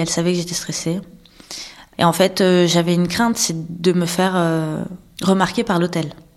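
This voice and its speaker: A woman's fairly low voice with fairly even intonation. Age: 30s. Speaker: abuse survivor. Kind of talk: testimony. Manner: halting.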